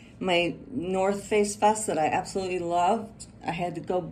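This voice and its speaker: A woman at medium pitch with ordinary pitch variation, amid audible room echo. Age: 60s. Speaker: cosmetic surgery patient. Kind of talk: interview. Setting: clinic follow-up visit.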